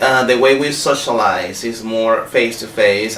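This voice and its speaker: With a Spanish accent, a man at medium pitch speaks at a fairly slow pace with ordinary pitch variation, amid audible room echo and noticeable background noise. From Venezuela. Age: 30s. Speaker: visiting English professor, scholarship holder. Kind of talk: interview. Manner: halting, with frequent fillers and restarts.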